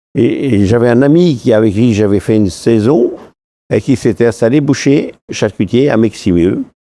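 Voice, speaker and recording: The man's tone is dark and mellow, with ordinary pitch variation. He talks at a fairly slow pace. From France, Saône-et-Loire (Bresse). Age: 70s. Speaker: retiring business owner, caterer. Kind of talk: interview. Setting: mobile studio at an event. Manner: halting, many hesitations.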